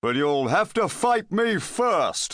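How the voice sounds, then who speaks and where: A man performs a put-on character voice. He pitches it high. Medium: read story. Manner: bashful.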